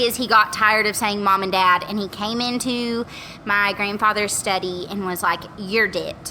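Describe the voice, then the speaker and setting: A fairly high-pitched woman's voice with an American accent and ordinary pitch variation, over noticeable background noise. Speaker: podcast guest. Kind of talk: casual chat. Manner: animated.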